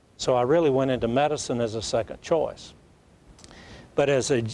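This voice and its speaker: A man talks in a Southern US accent with ordinary pitch variation. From US South, Alabama. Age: 80s+. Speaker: plastic surgeon. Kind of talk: talk show interview.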